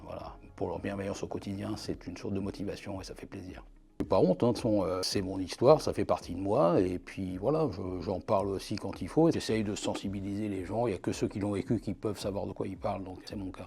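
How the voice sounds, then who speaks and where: His voice has a somewhat breathy quality. The man's pitch shifts in an ordinary way. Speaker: archivist. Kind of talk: interview answer.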